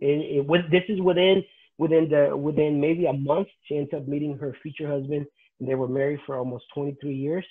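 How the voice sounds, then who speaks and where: Moderate pace and fairly even intonation in a Spanish accent. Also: man, fairly high pitch for a man, quiet background. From Nicaragua. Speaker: pastor; interviewee. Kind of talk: testimony; interview answer. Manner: halting. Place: home room. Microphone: video call.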